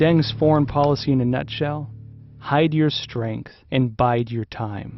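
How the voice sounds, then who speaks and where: With music in the background, a man speaks at a fairly slow pace in a dramatic tone. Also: medium pitch for a man, ordinary pitch variation. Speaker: documentary narrator. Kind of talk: history documentary narration, scripted and portentous. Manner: measured, dramatic, grave.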